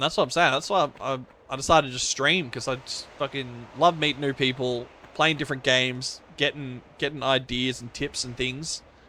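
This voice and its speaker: A man speaks at a fairly quick pace with a bright, sharp tone. His pitch is medium and his intonation fairly even. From Australia. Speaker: video game streamer. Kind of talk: casual chat. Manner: halting.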